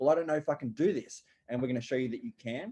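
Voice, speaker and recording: A fairly high-pitched man with an Australian accent, music in the background. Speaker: online business coach. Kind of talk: webinar presentation.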